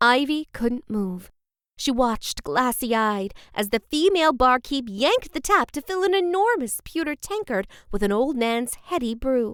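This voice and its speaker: A woman speaks at a fairly slow pace in a high voice, her pitch swinging very widely. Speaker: audiobook narrator. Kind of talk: third-person fiction narration.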